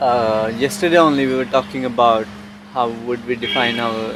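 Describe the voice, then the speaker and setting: At a moderate pace and a medium pitch, a man speaks with noticeable background noise around him. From India (Haryana). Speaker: long-distance walker and traveler. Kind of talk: interview answer. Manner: soft-spoken.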